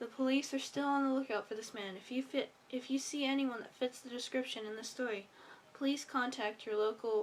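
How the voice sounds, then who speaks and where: The delivery has a moderate pace and fairly even intonation. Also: woman. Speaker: amateur narrator. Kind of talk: horror story reading.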